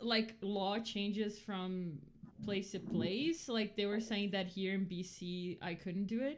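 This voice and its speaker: A very slow pace, with a Portuguese accent. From Brazil. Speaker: podcast co-host. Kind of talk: casual chat. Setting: livestream. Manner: halting.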